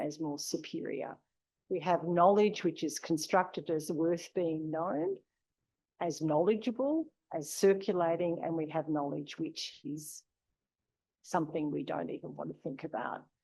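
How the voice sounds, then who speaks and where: The speaker is a woman with an Australian accent. The background is quiet. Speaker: university lecturer. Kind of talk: lecture. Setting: lecture room with audience.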